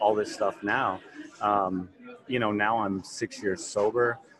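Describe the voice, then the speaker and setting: Noticeable background noise accompanies this man as his intonation stays fairly even. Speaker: fitness trainer in recovery. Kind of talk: casual interview. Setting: conference, recorded at a symposium.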